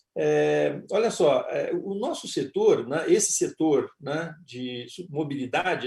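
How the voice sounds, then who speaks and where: This man's voice sits high in pitch, with a dark, mellow tone and ordinary pitch variation. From Rio Grande do Sul, southern Brazil. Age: 60s. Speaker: panel moderator, board member. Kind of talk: panel discussion. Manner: halting, many fillers.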